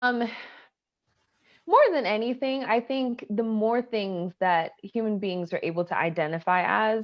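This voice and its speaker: A woman with an American accent speaks fairly slowly in a normal speaking voice, fairly high in pitch with ordinary pitch variation. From US South, Atlanta, Georgia. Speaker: storyteller. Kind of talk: interview testimony.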